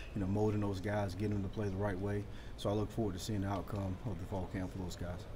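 Speaking at a very fast pace, a man has a dark, mellow, fairly low voice with vocal fry, and noticeable background noise is present. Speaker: football coach. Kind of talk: interview answer. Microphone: phone near.

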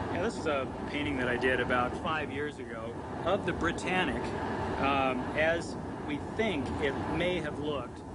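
Loud background noise fills the clip. Through it, a man keeps a moderate pace. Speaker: ship illustrator. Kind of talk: interview answer. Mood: enthusiastic, anticipating. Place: boat.

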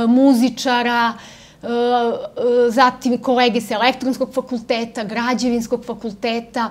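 A woman's high-pitched voice at a moderate pace. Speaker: interview guest. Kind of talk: interview answer. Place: studio.

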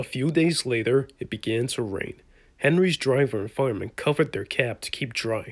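The voice is natural. Someone reads the text aloud.

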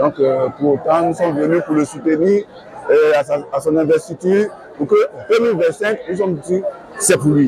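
With faint crowd noise and faint background noise behind him, a man with a fairly high voice for a man, vocal fry and a slightly mellow tone talks at a moderate pace with ordinary pitch variation and few pauses.

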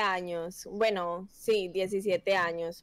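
A woman speaks with a Paisa Colombian accent. She goes at a very slow pace. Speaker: competitive gamer. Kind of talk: casual chat. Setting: video call. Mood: relaxed, friendly. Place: home room. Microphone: headset.

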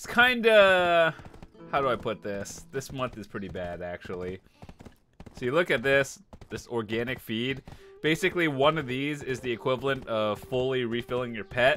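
The voice moves at a moderate pace while faint music sits in the background. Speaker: streamer. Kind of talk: gameplay commentary. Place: home room. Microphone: headset.

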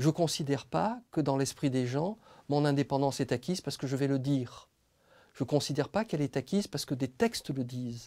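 Over a quiet background, a man with a fairly high pitch and a dark, mellow tone speaks at a fairly quick pace. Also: ordinary pitch variation. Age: 40s. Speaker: public prosecutor. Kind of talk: interview; interview answer. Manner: hesitant, many fillers; measured, reflective. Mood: calm, measured, thoughtful. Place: studio. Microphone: lapel.

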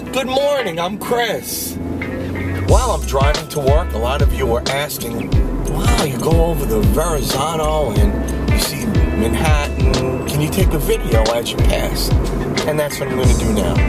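Loud music fills the background. The speech moves at a moderate pace. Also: man. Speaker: commuter vlogger. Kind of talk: casual vlog chat. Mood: cheerful, amused. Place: car. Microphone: phone near.

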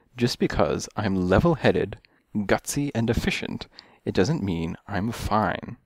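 The reading is plain and aloud, its intonation lively.

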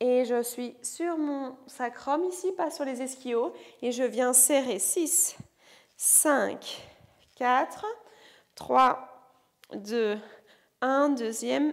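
A woman with a high pitch and ordinary pitch variation speaks at a very slow pace in a quiet background. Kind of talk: exercise class instruction, counting. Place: gym.

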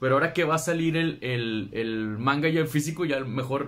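A man with a Mexican accent, lively in intonation, at a moderate pace. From Mexico. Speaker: booktuber; book vlogger. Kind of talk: casual video monologue. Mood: cheerful, enthusiastic. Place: home room. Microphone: phone near.

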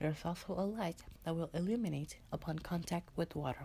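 This man has a fairly high pitch and a slightly mellow tone, speaking at a fairly slow pace with ordinary pitch variation.

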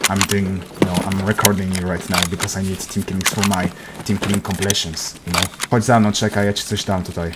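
With a Polish accent, a man talks at a very fast pace in a fairly low pitch and a monotone, flat intonation, over noticeable background noise. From Poland. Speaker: gaming YouTuber. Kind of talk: casual game chat; scripted narration.

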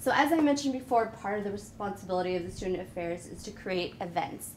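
Light background noise accompanies a woman speaking with lively intonation. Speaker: university administrator. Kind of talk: presentation. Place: classroom. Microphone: camera far.

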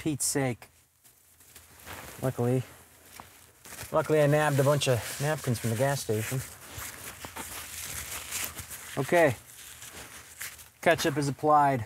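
At a moderate pace, a man speaks with fairly even intonation and long, frequent pauses, the sound dry with no echo and light background noise. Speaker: tradesman comedian. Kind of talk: comedic monologue to camera. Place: car. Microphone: camera far.

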